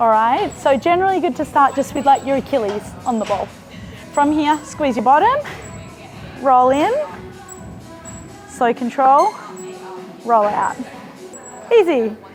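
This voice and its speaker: Over music in the background, a woman with a high pitch and lively intonation talks at a fairly slow pace with long, frequent pauses. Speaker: physiotherapist or strength coach. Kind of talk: exercise instruction. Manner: encouraging.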